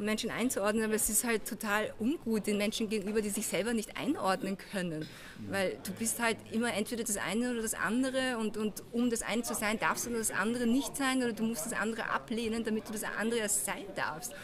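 A woman speaks at a fairly high pitch with ordinary pitch variation. Her pace is fairly quick with hardly any pauses, over noticeable background noise. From Vienna, Austria. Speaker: film director. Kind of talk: interview. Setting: outdoors at festival.

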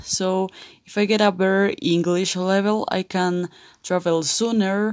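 On a very clean recording with a silent background, a woman talks at a fairly slow pace in a medium pitch. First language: Spanish. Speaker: college student and English learner. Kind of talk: monologue, language practice. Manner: halting, many hesitations.

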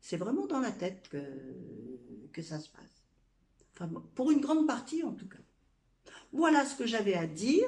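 A woman with a fairly high pitch and vocal fry speaks fairly slowly, leaving long, frequent pauses. Her pitch swings very widely, and the room echo is audible. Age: 60s. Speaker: blogger and influencer. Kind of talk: casual testimony. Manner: halting.

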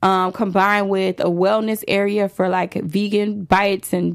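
The recording is very clean with a silent background, carrying a woman with an unremarkable speaking voice, a medium pitch and fairly even intonation. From Chicago, south side (Roseland). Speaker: celebrity hairstylist. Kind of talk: interview. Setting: studio.

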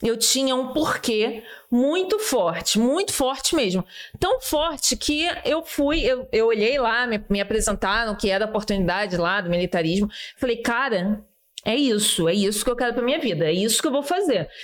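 Moderate-paced speech with lively intonation, noticeable background noise behind it. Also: woman. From Rio de Janeiro, Brazil. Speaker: army sergeant. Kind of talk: casual chat.

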